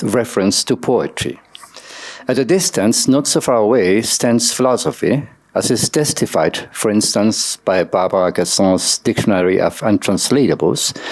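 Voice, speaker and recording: Lively intonation marks this man's speech at a moderate pace. Noticeable background noise runs underneath. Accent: non-native. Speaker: academic conference speaker. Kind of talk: reading a paper aloud. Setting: conference session. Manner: formal.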